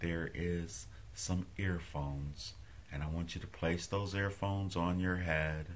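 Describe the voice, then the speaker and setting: The voice is soft-spoken with very even loudness. Its pitch varies in an ordinary way. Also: man, very deep, low pitch for a man, fairly slow pace. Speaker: hypnotist. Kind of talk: hypnosis induction. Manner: slow, soft-spoken. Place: home room. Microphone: phone near.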